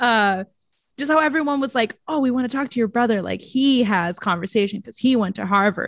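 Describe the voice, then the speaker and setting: Animated woman at a fairly high pitch, ordinary pitch variation, in a dry, close sound with no echo and a quiet background. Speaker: podcast host. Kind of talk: casual chat, movie review podcast. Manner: laughs often, animated, chatty.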